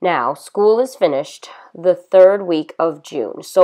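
Unforced reading voice, nothing more.

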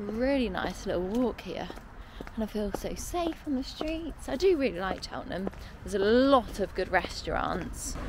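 In a dry recording with no echo, a woman speaks at a moderate pace against noticeable background noise. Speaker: travel vlogger. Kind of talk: casual vlog chat. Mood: relaxed, content. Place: street. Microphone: phone near.

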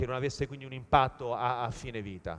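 At a very fast pace, a man talks with a medium pitch. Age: 40s. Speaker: sustainability entrepreneur; conference speaker. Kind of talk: conference talk. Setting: stage with audience. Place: hall.

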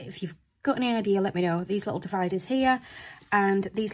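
A woman's somewhat breathy voice at medium pitch, moderate pace, and ordinary pitch variation. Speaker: planner video creator. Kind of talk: casual tutorial chat.

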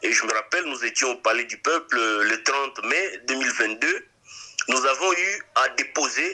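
The speaker is a man. The background is quiet. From DR Congo. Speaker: lawyer and politician; lawyer, politician. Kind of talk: interview. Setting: remote interview. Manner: halting. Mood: calm, serious. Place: studio. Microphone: studio mic.

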